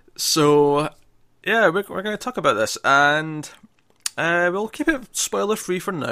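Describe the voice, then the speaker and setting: With a bright, sharp tone and lively intonation, a man speaks at a moderate pace. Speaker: film podcast host. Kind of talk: casual chat.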